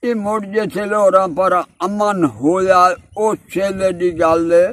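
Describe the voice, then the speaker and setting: This is a man with a high-pitched voice. His intonation stays fairly even. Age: 80s+. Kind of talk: interview answer. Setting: outdoors.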